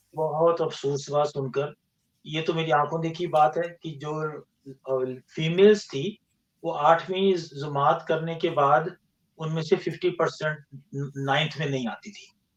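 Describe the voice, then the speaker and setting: This man's voice sits at a fairly high pitch, and his intonation stays fairly even. His loudness swings widely from moment to moment. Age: 60s. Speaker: engineer and scientist, podcast guest. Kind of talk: interview conversation. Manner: halting, with false starts.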